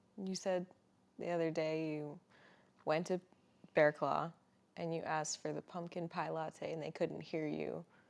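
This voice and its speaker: The speaker is soft-spoken, with a flat, monotone delivery. Long pauses come often. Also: woman, very deep, low pitch for a woman, moderate pace. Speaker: podcast co-host. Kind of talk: casual chat.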